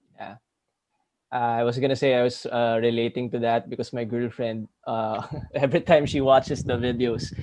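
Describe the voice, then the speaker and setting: Here a man talks at medium pitch and a moderate pace. His intonation is monotone and flat. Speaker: podcast host. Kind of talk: podcast interview. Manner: formal, teacher-like; halting with filler words.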